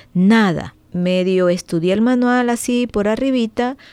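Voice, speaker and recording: A woman's fairly high voice at a very slow pace. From Venezuela. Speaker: driving school and licensing services owner. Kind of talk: radio interview. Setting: studio.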